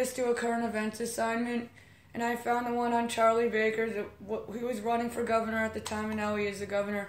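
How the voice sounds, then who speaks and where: Audible room echo surrounds a woman who speaks at a fairly quick pace and a high pitch with an American accent. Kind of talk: casual interview. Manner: halting, stuttering.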